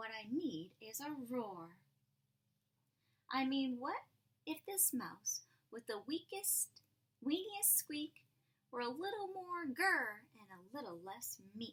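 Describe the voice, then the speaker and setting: A woman uses a put-on character voice pitched high, with very wide pitch swings. She speaks at a fairly slow pace, leaving long, frequent pauses. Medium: read story. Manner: timid, squeaky.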